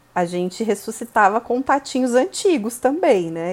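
A woman talks in an unremarkable speaking voice at a fairly slow pace. Her intonation is lively. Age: 30s. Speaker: marketing professional. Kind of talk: casual interview.

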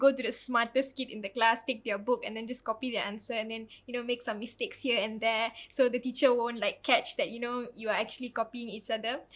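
The speech is very fast with hardly any pauses, and its loudness swings widely. The recording is very clean, with a silent background. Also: woman. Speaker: student podcast host. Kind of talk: casual chat. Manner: animated.

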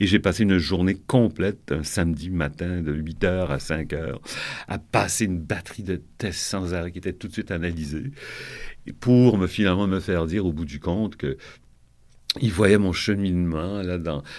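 On a very clean recording with a silent background, a man talks at a fairly slow pace. His pitch is very deep and low, with ordinary variation. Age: 70s. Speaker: fashion designer. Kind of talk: interview. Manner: halting.

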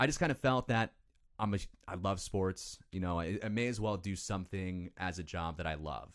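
In an American accent, a man talks at a moderate pace with a very deep, low pitch and ordinary pitch variation, on a very clean recording with a silent background. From northern Illinois, Chicago suburbs. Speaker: TV sports reporter. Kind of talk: casual chat.

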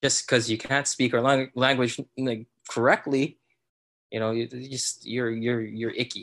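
Against a quiet background, a voice in a Filipino accent speaks at a moderate pace with monotone, flat intonation. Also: man. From Philippines. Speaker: new father. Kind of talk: casual interview chat.

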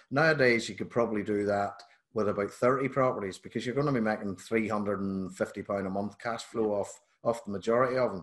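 In a Northern Irish accent, a man talks at a fairly quick pace and a fairly low pitch, with fairly even intonation against a quiet background. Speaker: podcast host. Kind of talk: casual interview chat.

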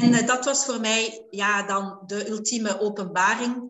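The speaker is a woman with a medium pitch. Her pitch varies in an ordinary way. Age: 50s. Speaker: life coach and hypnotherapist. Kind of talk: interview. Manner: hesitant, many filler sounds.

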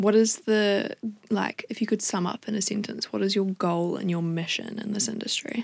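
Fairly even intonation in a New Zealand accent, moderate pace, a dry, close sound with no echo, and noticeable background noise. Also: woman, medium pitch for a woman. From New Zealand, Wellington. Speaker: podcast host and musician. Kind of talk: casual interview chat. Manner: giggly, informal.

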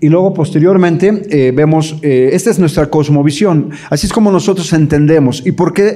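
With audible room echo around him, a man speaks fairly slowly at a fairly high pitch. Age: 60s. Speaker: pastor and English teacher giving a talk to parents. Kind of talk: lecture. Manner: halting, many fillers and repetitions.

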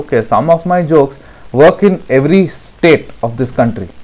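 A man with an Indian accent speaks with ordinary pitch variation. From Himachal Pradesh, India (Telugu family). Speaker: stand-up comedian. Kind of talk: casual chat, Hindi-English mix.

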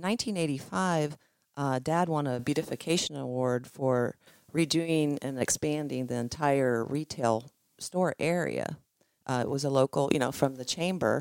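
A woman with an American accent at a very deep, low pitch, ordinary pitch variation and a moderate pace, in a very clean recording with a silent background and a dry, close sound with no echo. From Holmes County, Ohio. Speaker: cheese company co-owner. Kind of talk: casual interview.

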